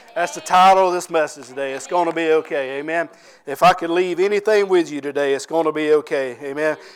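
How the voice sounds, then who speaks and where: A man with a Southern US accent speaks at a very fast pace. His pitch is fairly high, with ordinary pitch variation. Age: 40s. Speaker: pastor. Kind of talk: sermon.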